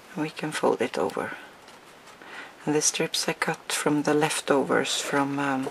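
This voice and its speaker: A woman's very deep, low voice, fairly even in intonation, at a fairly slow pace with long, frequent pauses and noticeable background noise. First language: not English. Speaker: crafting tutorial maker. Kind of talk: tutorial. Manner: hesitant, with fillers.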